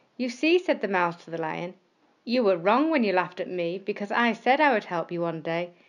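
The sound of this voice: An unforced reading voice full of lively intonation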